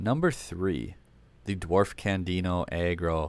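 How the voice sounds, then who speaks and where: On a very clean recording with a silent background, a man speaks at a very deep, low pitch. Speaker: gaming YouTuber, card game deck reviewer. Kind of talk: casual commentary on decks. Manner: fast; stumbles over words.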